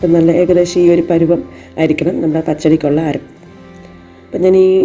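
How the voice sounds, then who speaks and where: A woman speaks in a flat, monotone way at a fairly low pitch. Music plays behind her. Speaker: home cook. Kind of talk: cooking tutorial narration.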